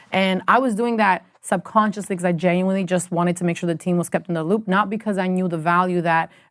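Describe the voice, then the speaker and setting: In an Albanian accent, a woman speaks at a very fast pace and medium pitch on a very clean recording with a silent background. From Albania, then Canada from age 13. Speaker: music industry executive. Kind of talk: podcast interview. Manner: casual, animated.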